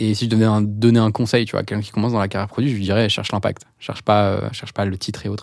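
Hardly pausing at all, a man talks in a fairly low, monotone, flat voice. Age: 30s. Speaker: product executive at a tech company. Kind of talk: interview. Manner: halting.

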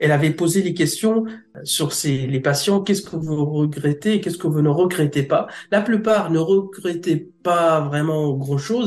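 Somewhat breathy, a man with a fairly high pitch talks at a moderate pace with ordinary pitch variation. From Egypt. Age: 30s. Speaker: translator-interpreter. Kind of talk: interview testimony. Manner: halting.

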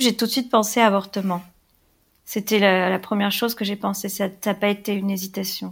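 A woman speaks at a medium pitch and a fairly quick pace in a monotone, flat intonation. The recording is very clean, the background silent. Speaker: woman sharing her abortion story. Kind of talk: personal testimony. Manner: halting.

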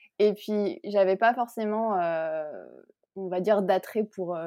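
Speaking at a fairly slow pace, a woman uses a medium pitch with ordinary pitch variation. Her tone is dark and mellow. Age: 20s. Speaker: illustrator. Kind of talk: interview. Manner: hesitant, many fillers.

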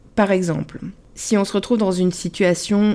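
In a very clean recording with a silent background, a woman talks fairly slowly at a medium pitch with a dark, mellow tone. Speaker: love coach and podcast host. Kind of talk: solo podcast monologue.

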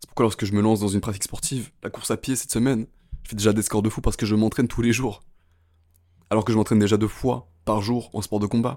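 The voice is intense and very fast. Its intonation stays monotone and flat. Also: man, very clean recording, silent background. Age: 20s. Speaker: podcast host. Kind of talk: motivational monologue.

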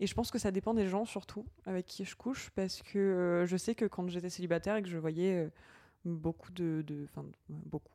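This woman's voice has a dark, mellow tone and sits at a medium pitch. She talks at a moderate pace with fairly even intonation. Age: 20s. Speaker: nursing assistant and podcaster. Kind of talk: casual chat.

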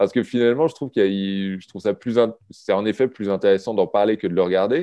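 The speaker is a man. His tone is dark and mellow. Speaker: film journalist. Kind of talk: casual chat.

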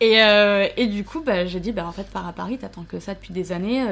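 At a moderate pace, a woman talks in a plain, everyday voice with ordinary pitch variation. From southern France. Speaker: Instagram influencer. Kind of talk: casual chat.

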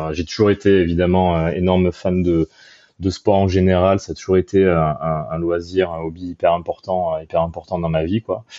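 In a very deep, low voice, a man talks at a moderate pace with monotone, flat intonation. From southern France, Arles. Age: 30s. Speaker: sports marketing digital director. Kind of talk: interview conversation. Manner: halting, many repetitions and fillers.

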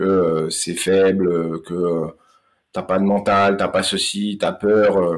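This man's delivery is very slow. His voice sits fairly low in pitch. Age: 30s. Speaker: mental coach for combat sports. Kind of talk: podcast interview. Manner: halting, many hesitations.

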